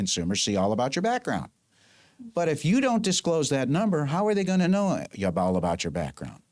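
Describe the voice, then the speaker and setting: This man's pitch rises and falls across a very wide range. He moves along at a fairly quick pace. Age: 70s. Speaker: attorney. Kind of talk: interview. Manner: emphatic.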